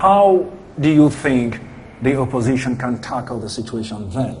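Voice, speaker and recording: The voice moves at a moderate pace with lively intonation and big swings in loudness. Noticeable background noise runs underneath. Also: man, medium pitch for a man. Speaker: news anchor and reporter. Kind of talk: interview questions to guests.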